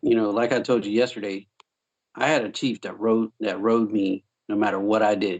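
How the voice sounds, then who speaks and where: A man in a Southern US accent talks with fairly even intonation. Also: moderate pace. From US South, South Carolina. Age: 30s. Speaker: Navy veteran. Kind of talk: casual chat. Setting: remote call.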